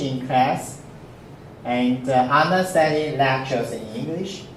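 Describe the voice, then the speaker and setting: A man speaks at a fairly slow pace with ordinary pitch variation, with audible room echo and noticeable background noise. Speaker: university professor. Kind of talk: lecture. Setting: classroom. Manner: halting, frequent fillers.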